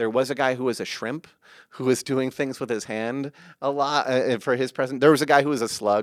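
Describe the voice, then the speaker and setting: A man with an ordinary speaking voice at a medium pitch, fairly quick in pace and fairly even in intonation. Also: very clean recording, silent background. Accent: American. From US West Coast, San Francisco. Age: 30s. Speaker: actor and comedian. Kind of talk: casual chat. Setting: studio.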